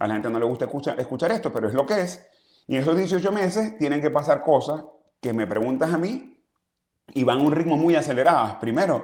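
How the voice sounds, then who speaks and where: Speaking very fast with lively intonation, a man with a Zulian accent has a fairly high pitch. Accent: Zulian Venezuelan. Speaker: exiled opposition politician. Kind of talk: interview.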